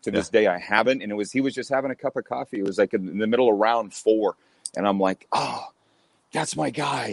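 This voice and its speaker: A man talks at a fairly quick pace and fairly low pitch, with ordinary pitch variation, in an unremarkable speaking voice. The sound is dry and close, with no echo. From Canada. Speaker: radio host. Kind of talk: casual interview chat.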